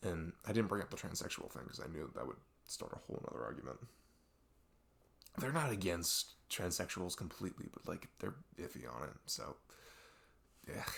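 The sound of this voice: Using a put-on character voice, a man talks at a moderate pace with long, frequent pauses, his low pitch making big swings, his tone fairly bright and edged with vocal fry.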